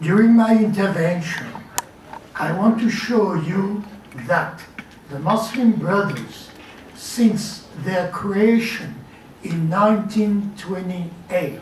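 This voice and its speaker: Very slow with long, frequent pauses, a man speaks at a high pitch with ordinary pitch variation, amid audible room echo and noticeable background noise. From France. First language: French. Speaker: journalist and writer. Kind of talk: prepared lecture.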